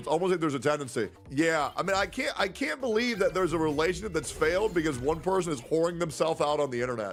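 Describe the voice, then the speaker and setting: Loud, very fast shouting from a high-pitched man, full of lively intonation. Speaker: gaming streamer. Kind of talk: casual live stream chat reacting to clips. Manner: loud, naturally yelling voice; casual, repetitive, stammering.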